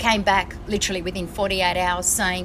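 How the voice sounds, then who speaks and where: A woman speaks at a medium pitch with an Australian accent. Noticeable background noise runs behind her. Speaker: traveller. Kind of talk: casual chat. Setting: on board a ship.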